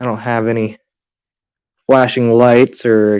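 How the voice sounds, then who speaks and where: A man's dark, mellow voice in a monotone, flat delivery. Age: 20s. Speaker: aquarium hobbyist livestreamer. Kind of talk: casual livestream chat.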